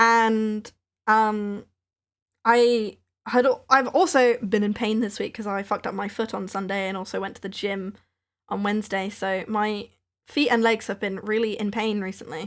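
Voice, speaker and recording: In a southern English accent, the speaker keeps a fairly even intonation on a very clean recording with a silent background. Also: woman, fairly high pitch for a woman, moderate pace. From England, Maidenhead. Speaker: craft livestreamer, small business owner. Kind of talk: casual chat.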